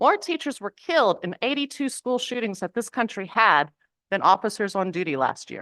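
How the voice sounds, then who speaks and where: A woman with a strong Southern US accent, fairly high in pitch, bright and sharp in tone, very wide pitch swings, moderate pace, dry, close sound with no echo and a quiet background. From US South, Mississippi. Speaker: public commenter at city council meeting. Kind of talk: public comment speech. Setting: city council chamber.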